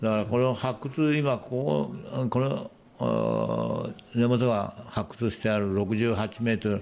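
A man talks at a very slow pace in a fairly low voice. His pitch varies in an ordinary way. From Japan, Shizuoka. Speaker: wooden model maker. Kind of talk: casual chat.

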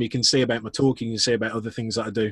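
A man's voice, dry and close with no echo. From northwest England, Chorley. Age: 30s. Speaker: customer experience speaker and consultant. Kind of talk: casual interview chat.

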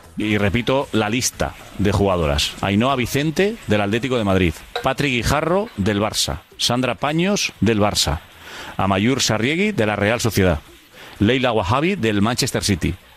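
A man speaks at a fairly slow pace with very even loudness. Noticeable background noise is present. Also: medium pitch for a man, lively intonation. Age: 40s. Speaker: sports radio commentator. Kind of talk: casual chat.

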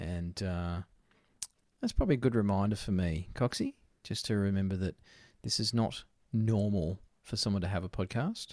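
A man speaks at a moderate pace with an Australian accent, his pitch fairly low and his intonation fairly even. Long, frequent pauses break up the speech, and the very clean recording has a silent background and a dry, close sound with no echo. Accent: broad Australian twang. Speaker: podcast host, trade business coach. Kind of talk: casual chat.

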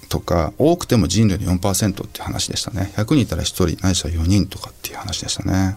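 A man with a very deep, low pitch talks at a fairly quick pace with hardly any pauses. His loudness swings widely over noticeable background noise. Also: ordinary pitch variation. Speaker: writer and environmental advocate, former record producer. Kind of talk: interview conversation.

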